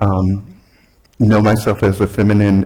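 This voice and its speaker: A man talks in an American accent. His tone is dark and mellow. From US South, Alabama. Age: 60s. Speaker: guest speaker. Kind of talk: sermon. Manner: halting, many fillers.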